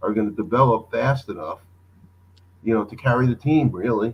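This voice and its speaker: A normal speaking voice with fairly even intonation. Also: man. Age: 60s. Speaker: caller. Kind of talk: casual chat.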